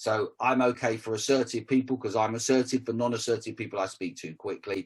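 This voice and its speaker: A man at a medium pitch and fairly quick pace, with fairly even intonation. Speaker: communication coach. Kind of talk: interview. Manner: fast.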